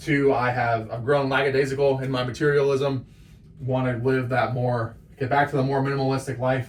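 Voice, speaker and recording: This man's pitch is medium. He talks at a fairly quick pace. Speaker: small business owner teaching marketing. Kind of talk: tutorial. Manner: fast; animated.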